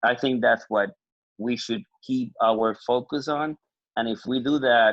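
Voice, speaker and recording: A man with a Puerto Rican accent talks at a medium pitch and a fairly slow pace. His pitch varies in an ordinary way. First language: Spanish. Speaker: dog breeder. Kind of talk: panel discussion.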